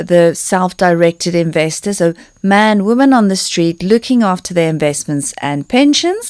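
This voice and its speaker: A woman talks at a moderate pace with a South African accent. Her pitch sits in the medium range. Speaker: personal finance expert and author. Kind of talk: podcast interview.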